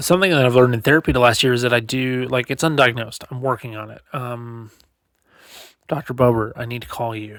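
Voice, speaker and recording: A man talks at a medium pitch. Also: very clean recording, silent background. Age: 30s. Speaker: podcast host. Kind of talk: casual monologue. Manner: fast.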